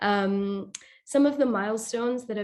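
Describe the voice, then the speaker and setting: This is a woman with a plain, everyday voice. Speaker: presenter at training webinar. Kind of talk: presentation.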